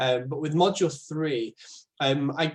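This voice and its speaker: The speaker is a man with a somewhat breathy voice. His intonation is fairly even. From northern England. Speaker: speech and language therapist. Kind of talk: informal explainer talk. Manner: hesitant, many fillers; informal.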